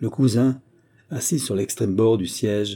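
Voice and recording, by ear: Someone is reading aloud in a natural voice. Pitch varies in an ordinary way.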